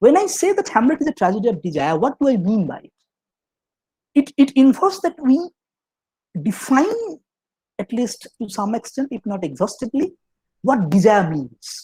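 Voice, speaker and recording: A man at an extremely high pitch with a dark, mellow tone, very wide pitch swings, big swings in loudness and long, frequent pauses, in a dry, close sound with no echo. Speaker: professor. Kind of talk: lecture. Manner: fast; halting, many fillers and restarts.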